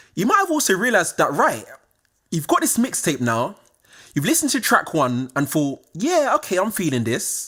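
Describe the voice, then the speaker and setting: The speaker has a southern English accent and keeps a moderate pace. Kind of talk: casual, direct address.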